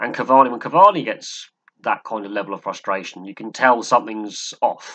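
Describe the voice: A man speaks at a moderate pace with a bright, sharp tone.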